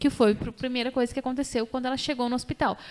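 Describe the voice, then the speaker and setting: A woman is speaking. Her pitch is high. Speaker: podcast host and doula. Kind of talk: casual chat. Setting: studio. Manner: animated.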